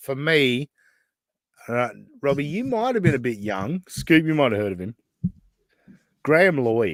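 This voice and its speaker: A man speaks with an Australian accent at a moderate pace. His pitch swings very widely, and the sound is dry and close with no echo. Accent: thick Australian. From Western Australia, Perth. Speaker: podcast host. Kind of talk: casual chat. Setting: live stream.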